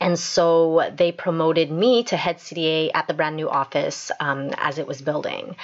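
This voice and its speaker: In a Canadian accent, a woman talks at a fairly low pitch in an ordinary speaking voice, with ordinary pitch variation. Her pace is fairly slow, with hardly any pauses. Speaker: podcast host and dental assistant. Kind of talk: motivational solo podcast talk.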